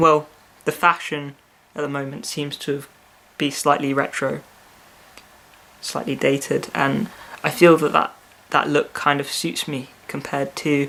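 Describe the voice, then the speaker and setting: Speaking with a British accent, a man with a fairly high voice goes at a fairly slow pace, leaving long, frequent pauses, his intonation fairly even. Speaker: vlogger. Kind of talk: video diary. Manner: hesitant, with fillers and repeats.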